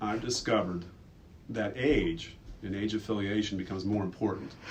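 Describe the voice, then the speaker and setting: A man talks at a fairly low pitch with ordinary pitch variation. His voice is somewhat breathy, with audible room echo. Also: moderate pace. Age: 30s. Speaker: school staff member. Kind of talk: personal reflection in a school video.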